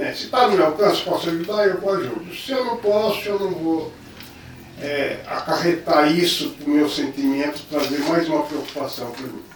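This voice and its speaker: Over noticeable background noise, a man with a high voice speaks at a moderate pace with ordinary pitch variation. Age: 70s. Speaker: artist and teacher. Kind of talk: interview answer. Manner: casual, conversational.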